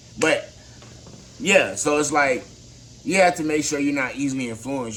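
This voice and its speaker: The speech comes at a very fast pace. There is audible echo in the room. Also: man. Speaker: motivational vlogger. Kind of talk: motivational talk to camera. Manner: halting.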